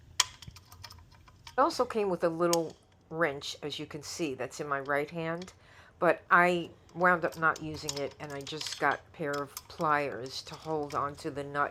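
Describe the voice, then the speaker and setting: A woman's very deep, low voice with an American accent, ordinary pitch variation and a fairly slow pace. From New York. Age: 70s. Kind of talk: casual talk to camera. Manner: upbeat.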